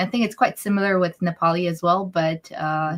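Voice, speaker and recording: A woman speaks in a Bhutanese accent at a moderate pace. Her pitch is fairly low, with ordinary variation. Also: dry, close sound with no echo. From Bhutan, raised partly abroad (third culture kid). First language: Dzongkha. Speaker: interview guest. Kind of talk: live interview Q&A. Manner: halting, many fillers.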